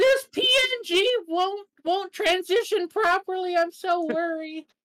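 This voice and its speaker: The pace here is very slow. An extremely high-pitched, put-on character voice carries it. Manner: hardcore, brutish.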